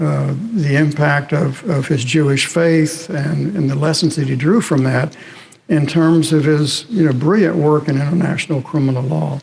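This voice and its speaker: Delivery is at a fairly slow pace with ordinary pitch variation. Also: man. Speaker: historian and professor. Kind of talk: lecture. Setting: chapel with audience.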